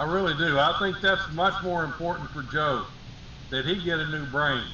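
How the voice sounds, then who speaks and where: A man speaks at a high pitch with ordinary pitch variation and a moderate pace. Noticeable background noise and audible room echo surround him. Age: 60s. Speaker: talk show co-host. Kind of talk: casual political chat.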